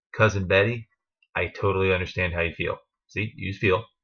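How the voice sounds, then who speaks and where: With a bright, sharp tone and an American accent, this voice moves at a moderate pace over a quiet background. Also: man. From New Jersey. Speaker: network marketing distributor and trainer. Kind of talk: training talk to team. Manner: casual, with fillers.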